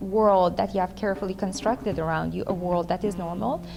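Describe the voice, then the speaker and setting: The pitch shows ordinary variation. Behind the voice, music is playing. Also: woman. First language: Russian. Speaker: author. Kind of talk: talk.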